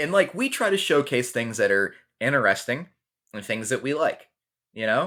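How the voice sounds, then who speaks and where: Lively intonation and an animated, bright, sharp tone mark this man's speech, captured in a very clean recording with a silent background. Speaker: podcast co-host. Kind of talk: heated debate.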